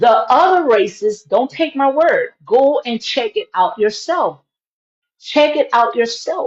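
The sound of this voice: Speaking slowly, a woman uses lively intonation at a fairly high pitch.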